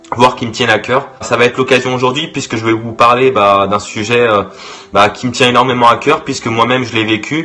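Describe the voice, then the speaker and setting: A man at a medium pitch and fairly quick pace, fairly even in intonation, with noticeable background noise. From Brittany, France. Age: 20s. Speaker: youtuber. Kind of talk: vlog monologue. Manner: halting, many fillers and repetitions.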